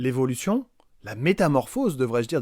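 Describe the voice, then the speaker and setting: A man with a fairly high pitch speaks at a fairly quick pace with lively intonation. The recording is very clean, with a silent background. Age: 40s. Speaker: secondary school physics teacher. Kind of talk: recorded testimony.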